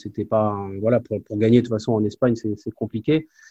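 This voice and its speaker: Against a quiet background, a man speaks at a moderate pace in a fairly low, dark, mellow voice with monotone, flat intonation. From Normandy, France (Évreux). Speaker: former pro basketball player, player development coach. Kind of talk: interview testimony. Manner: halting, many repetitions.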